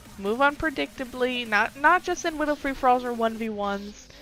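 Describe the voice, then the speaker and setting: Music plays behind a woman who talks at a moderate pace, her intonation lively. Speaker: gaming youtuber. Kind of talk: tutorial.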